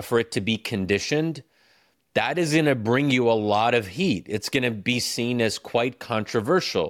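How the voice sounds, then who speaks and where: A man with an American accent speaks at a fairly slow pace in a plain, everyday voice, medium in pitch with ordinary pitch variation, on a very clean recording with a silent background. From United States. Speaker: author and newspaper editorial writer. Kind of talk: interview conversation.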